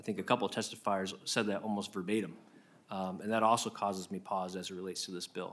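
A man with a fairly low pitch and an American accent talks at a very fast pace in a monotone, flat intonation. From Iowa. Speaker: state senator. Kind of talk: committee hearing questioning. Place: hall. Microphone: podium.

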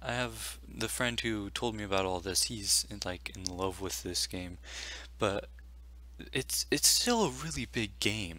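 A man talks quietly in a very deep, low pitch with vocal fry and a bright, sharp tone. His pace is fairly slow. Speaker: gaming video commentator. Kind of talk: casual gaming news talk over gameplay.

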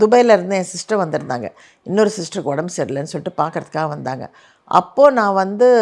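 A woman's plain, everyday voice, medium in pitch, with lively intonation. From Chennai, India. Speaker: actress and YouTube host. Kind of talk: comment reply monologue. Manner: casual conversational.

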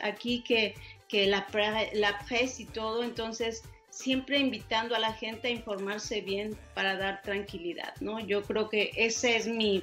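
With a Mexican accent, a woman talks at a fairly slow pace in a fairly high voice with ordinary pitch variation while faint music plays in the background. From Mexico. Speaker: broadcaster, journalist, producer, university lecturer. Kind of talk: interview answer. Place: home room.

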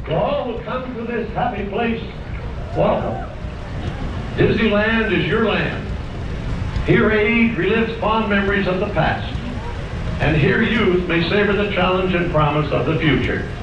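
A man's high-pitched voice at a fairly slow pace with long, frequent pauses, amid noticeable background noise and audible room echo. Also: ordinary pitch variation. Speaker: park announcer. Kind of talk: formal ceremonial announcement. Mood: celebratory, solemn. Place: street.

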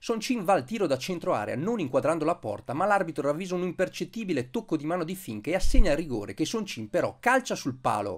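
Very fast pace from a man with a high pitch. His pitch swings very widely. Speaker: sports commentator. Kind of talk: sports match-report commentary, read as a polished recap voice-over. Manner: fluent, brisk and energetic, rattling off play-by-play with minute marks.

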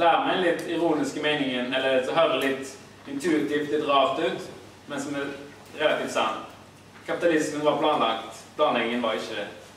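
A fairly high-pitched man at a moderate pace with fairly even intonation, audible room echo, and light background noise. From Haugesund, Norway. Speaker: academic and political activist. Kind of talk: lecture. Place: hall. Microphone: camera far.

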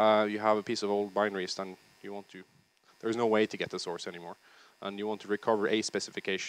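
A man with a fairly low pitch talks at a very fast pace, the sound dry with no echo. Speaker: conference presenter. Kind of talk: lecture. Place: hall. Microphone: headset.

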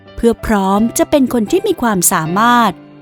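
A woman's voice with very wide pitch swings, dry and close with no echo, music in the background. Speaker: voice actor. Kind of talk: inspirational audiobook narration.

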